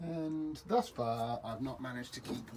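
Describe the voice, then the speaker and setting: A man speaks with a British accent. There is noticeable background noise. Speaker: amateur DIY renovator. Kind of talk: tutorial. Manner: halting.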